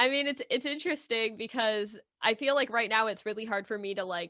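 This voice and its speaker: A woman speaks with a fairly high pitch and ordinary pitch variation. Hers is an ordinary speaking voice. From Michigan. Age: 20s. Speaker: Etch-a-Sketch artist. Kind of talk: casual interview chat.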